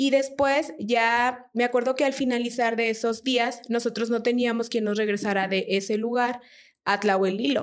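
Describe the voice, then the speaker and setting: A woman's unremarkable speaking voice at a fairly high pitch and moderate pace, with fairly even intonation, on a very clean recording with a silent background. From Mexico, Durango. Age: 30s. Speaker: church member sharing testimony. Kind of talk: testimony.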